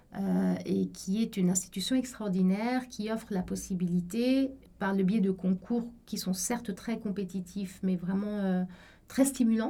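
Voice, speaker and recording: Her voice is somewhat breathy, with a dark, mellow tone at medium pitch. The woman speaks at a fairly slow pace with fairly even intonation. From Egypt (Cairo), French school. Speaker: law professor. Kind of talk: interview testimony.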